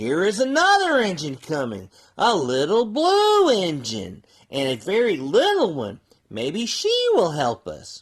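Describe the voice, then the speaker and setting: Using a put-on character voice at a middle pitch, the speaker goes at a fairly slow pace. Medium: read story.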